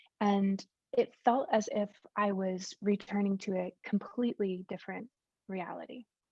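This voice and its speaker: A woman has an ordinary speaking voice with a medium pitch and fairly even intonation. Her sound is dry and close, with no echo. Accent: American. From United States. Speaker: science communicator. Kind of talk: conference talk. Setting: video call.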